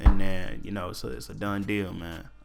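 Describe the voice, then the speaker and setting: Lively, fairly quick speech comes with audible room echo and music in the background. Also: man. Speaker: solo podcast host. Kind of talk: casual solo podcast talk. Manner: fast.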